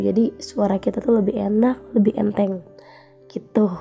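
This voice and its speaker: Over music in the background, a woman talks at a moderate pace in a fairly high pitch. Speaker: podcast host and teacher. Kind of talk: casual chat. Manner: casual, with filler words.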